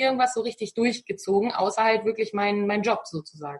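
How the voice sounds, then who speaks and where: Speaking at a very fast pace, a woman uses a fairly high, somewhat breathy voice. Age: 30s. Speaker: virtual assistant. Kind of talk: interview. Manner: halting, many fillers.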